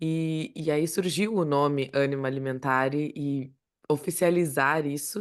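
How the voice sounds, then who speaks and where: In a very deep, low pitch, a woman speaks at a fairly slow pace with fairly even intonation against a quiet background. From Brazil, Rio Grande do Sul (Passo Fundo). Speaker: speech therapist and podcast co-host. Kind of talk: casual chat.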